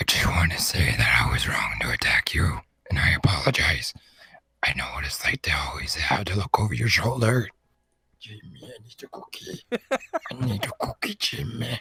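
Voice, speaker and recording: In a put-on character voice, someone whispers raspily at a moderate pace. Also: man. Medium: game stream. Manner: awkward, apologetic.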